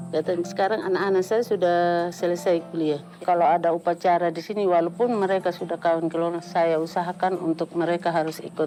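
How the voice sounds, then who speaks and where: A woman's monotone, flat intonation carries through speech at a moderate pace. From Sumba, Indonesia. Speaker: textile weaver. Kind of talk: interview testimony.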